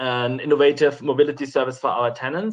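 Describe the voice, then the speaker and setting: The speaker is a man with a German accent. His voice sits fairly high in pitch. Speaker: housing company project presenter. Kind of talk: webinar presentation. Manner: hesitant.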